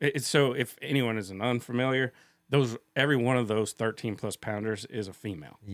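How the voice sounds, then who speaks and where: The sound is dry and close, with no echo. A man talks fairly quickly at a medium pitch with ordinary variation. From Kansas. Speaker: fisheries biologist. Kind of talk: casual interview. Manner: halting.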